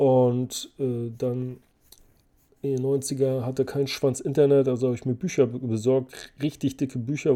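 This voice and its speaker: This man speaks at a moderate pace with a medium pitch and a dark, mellow tone. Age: 40s. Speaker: finance podcast host. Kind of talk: casual Q&A monologue. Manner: animated.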